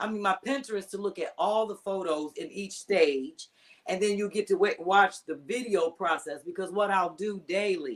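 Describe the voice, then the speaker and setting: A woman speaks in an animated tone at a moderate pace. Her voice sits at a medium pitch with ordinary pitch variation. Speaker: comedian. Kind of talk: casual chat.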